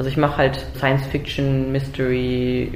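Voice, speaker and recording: Through noticeable background noise and audible room echo, a woman with a very deep, low pitch speaks at a fairly slow pace. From Germany. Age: 30s. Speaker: manga artist. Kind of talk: interview. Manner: halting, with repetitions and fillers.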